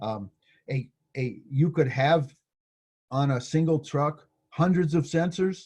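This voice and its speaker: A man speaks in a somewhat breathy voice. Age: 60s. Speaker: university professor. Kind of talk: lecture. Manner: halting, many fillers.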